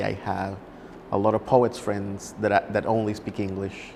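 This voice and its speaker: Someone speaks with a Spanish accent at a moderate pace. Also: man. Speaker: poet. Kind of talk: interview. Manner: halting.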